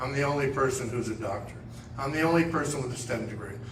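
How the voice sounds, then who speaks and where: There is audible room echo and noticeable background noise as a man with a medium pitch speaks with fairly even intonation. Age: 70s. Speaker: congressional candidate. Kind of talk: campaign speech.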